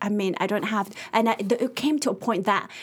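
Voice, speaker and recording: Somewhat breathy, fairly high-pitched female voice with ordinary pitch variation. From Ethiopian family background. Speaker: youth mentor. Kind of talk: casual interview. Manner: halting, many fillers.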